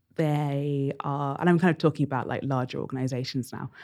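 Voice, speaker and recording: The voice has a dark, mellow tone and a southern English accent. The recording is very clean, with a silent background. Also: woman. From England, Bedford. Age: 30s. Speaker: curator and writer. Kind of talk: casual interview.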